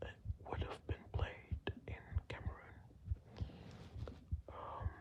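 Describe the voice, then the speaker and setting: A man whispering at a very slow pace. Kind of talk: ASMR whispered fact-telling about football. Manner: whispered, slow, hesitant with filler words.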